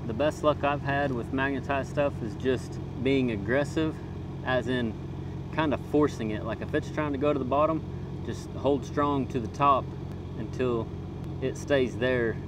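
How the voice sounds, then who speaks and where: A man speaks at a moderate pace with long, frequent pauses, the sound dry with no echo over noticeable background noise. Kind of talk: tutorial. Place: open country. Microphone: phone near.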